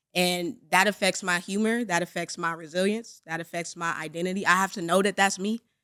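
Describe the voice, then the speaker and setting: A woman speaks loudly at a fairly quick pace, with hardly any pauses. Her pitch is medium for a woman, and the recording is very clean with a silent background. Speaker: comedian. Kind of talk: casual chat. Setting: studio. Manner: animated.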